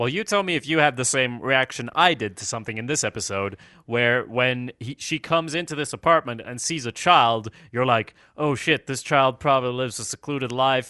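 With a Swedish accent, a man speaks at a fairly quick pace and medium pitch, his bright, sharp tone showing ordinary pitch variation in a dry, close sound with no echo over a quiet background. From Sweden. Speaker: podcast co-host. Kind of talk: casual TV recap discussion.

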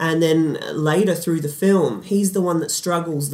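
At a moderate pace, a man talks in a normal speaking voice with fairly even intonation. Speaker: podcast host. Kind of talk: casual film podcast discussion.

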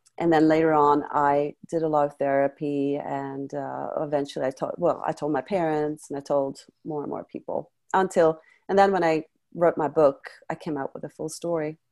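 With a Swedish accent, a woman speaks in a very deep, low pitch with fairly even intonation. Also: moderate pace. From Sweden, Stockholm. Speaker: life coach and former model. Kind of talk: interview testimony. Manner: hesitant with many fillers.

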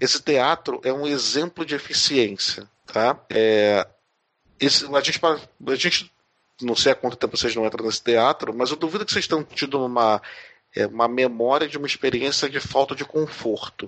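Speech comes at a moderate pace with ordinary pitch variation. It is a normal speaking voice. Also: man, medium pitch for a man. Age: 40s. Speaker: educator. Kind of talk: interview.

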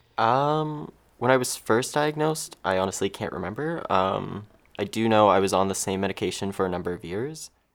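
In a Canadian accent, a man talks fairly quickly with an ordinary speaking voice at a fairly low pitch. The recording is very clean, with a silent background. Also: lively intonation. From Ontario, Canada (Mississauga). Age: 20s. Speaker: filmmaker and patient advocate. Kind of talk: interview.

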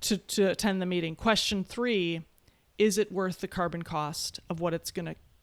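A woman speaks in an Upper Midwest accent with fairly low pitch. Her intonation stays fairly even. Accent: Upper Midwest American. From Wisconsin. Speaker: futurist and economist. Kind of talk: interview. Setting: video call.

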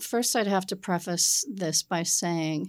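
Here is a woman with an American accent and a plain, everyday voice. Her pitch is fairly low with ordinary variation, her pace is moderate, and the recording is very clean with a silent background. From Massachusetts North Shore, Peabody. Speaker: property management executive. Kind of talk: interview.

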